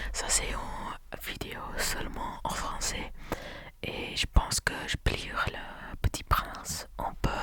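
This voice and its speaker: There is noticeable background noise. Through it, a man whispers very slowly. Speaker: ASMR content creator. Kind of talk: ASMR whispered talk to camera. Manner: whispered, soft-spoken.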